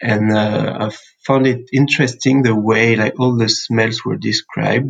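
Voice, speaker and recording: This man's voice sits in a medium range. He talks rather slowly. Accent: French. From France, central (Sancerre). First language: French. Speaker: perfumer and musician. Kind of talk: interview. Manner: hesitant, many fillers.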